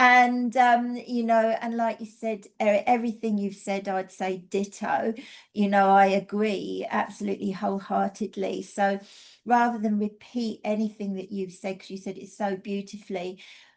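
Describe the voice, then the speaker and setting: Against a quiet background, a woman talks at a moderate pace in a medium pitch. Her intonation is fairly even, with big swings in loudness. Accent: English. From England. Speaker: energy healing teacher and mentor. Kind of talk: casual presentation.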